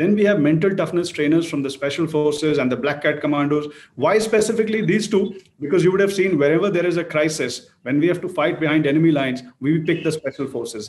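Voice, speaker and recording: A man speaks at a very fast pace in a fairly high pitch. His pitch varies an ordinary amount. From India. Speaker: fitness company head hosting interview. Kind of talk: panel interview on TV. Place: home room. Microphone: video call.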